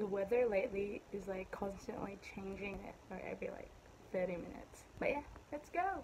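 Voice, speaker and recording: A woman keeps a moderate pace and ordinary pitch variation while noticeable background noise runs underneath. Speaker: vlogger. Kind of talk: casual vlog. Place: home room. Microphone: phone near.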